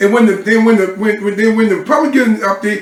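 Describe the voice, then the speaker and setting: This voice carries an American accent. Background noise is noticeable throughout. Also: man. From US South, Georgetown, South Carolina. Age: 60s. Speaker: city council member. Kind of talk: interview. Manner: halting, repeats words; animated.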